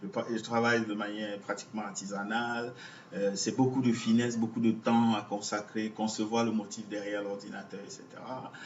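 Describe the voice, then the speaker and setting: A man speaks at a moderate pace in a fairly low voice with monotone, flat intonation, and noticeable background noise can be heard. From Cameroon, Douala. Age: 40s. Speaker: visual artist. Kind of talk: interview. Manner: halting.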